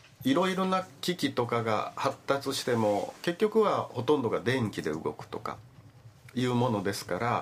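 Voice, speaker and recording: Over noticeable background noise, a man with a medium pitch talks at a moderate pace, his pitch swinging very widely. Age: 60s. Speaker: visually impaired advocate. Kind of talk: radio interview.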